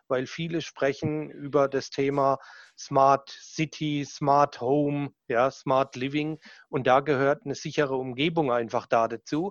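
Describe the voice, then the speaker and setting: With a strong southern German accent, a man speaks fairly slowly at a fairly high pitch in a monotone, flat delivery. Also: quiet background. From southern Germany. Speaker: sales manager. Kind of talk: casual interview chat.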